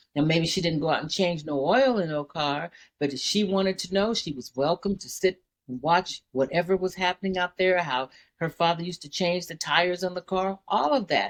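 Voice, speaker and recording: It's a normal speaking voice with ordinary pitch variation at a fairly quick pace. The sound is dry and close, with no echo. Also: woman, fairly low pitch for a woman. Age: 60s. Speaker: daycare owner. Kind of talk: casual chat.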